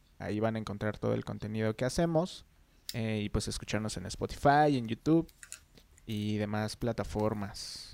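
A normal speaking voice from a man, fairly low in pitch, at a moderate pace with ordinary pitch variation. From Mexico, San Luis Potosí. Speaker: photographer and music video director. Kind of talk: casual chat.

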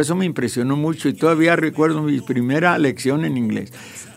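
Noticeable background noise sits behind a man speaking at a fairly quick pace. His pitch is fairly high, with ordinary variation. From Mexico, Jalisco. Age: 70s. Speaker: radio broadcaster and painter. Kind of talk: casual interview.

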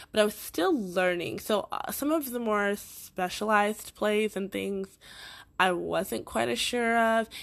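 A woman at a fairly slow pace and medium pitch, with ordinary pitch variation, over a quiet background. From Boston, Massachusetts.

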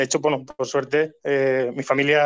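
A man's plain, everyday voice, fairly high in pitch, with fairly even intonation. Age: 30s. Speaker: hotel operations manager. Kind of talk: interview.

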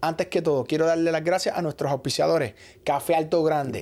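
Dark and mellow in tone, the voice comes through clearly. The recording is very clean, with a silent background. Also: man. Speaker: podcast host and producer. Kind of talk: casual interview chat; sponsor announcements. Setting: studio.

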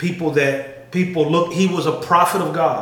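A man with fairly even intonation, over noticeable background noise. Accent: American. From Chicago, South Side. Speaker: faith podcast co-host. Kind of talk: casual conversation on faith and race.

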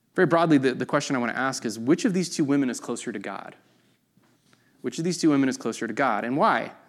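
With audible room echo, a man talks at a very fast pace in a fairly high pitch, his intonation lively. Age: 30s. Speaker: pastor. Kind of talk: sermon. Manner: casual, conversational with fillers.

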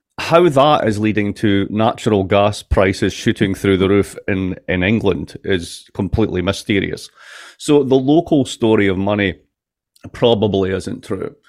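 Here a man speaks in an American accent at a fairly low pitch. His pace is moderate and his pitch variation is ordinary. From Scotland, Dundee. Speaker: professor of political economy. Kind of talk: casual interview chat.

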